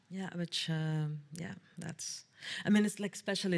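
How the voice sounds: Low-pitched and slightly mellow, a woman talks at a fairly slow pace with fairly even intonation.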